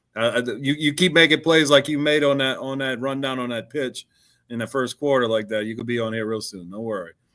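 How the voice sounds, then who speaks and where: With a bright, sharp tone, a man talks at a fairly quick pace and medium pitch, using ordinary pitch variation. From Louisiana, River Parishes. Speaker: sports show host. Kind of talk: casual interview on live stream.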